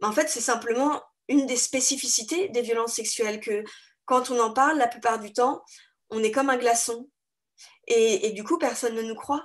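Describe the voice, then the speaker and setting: A woman with a high-pitched voice speaks with ordinary pitch variation and long, frequent pauses against a quiet background. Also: moderate pace. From France. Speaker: author. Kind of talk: interview.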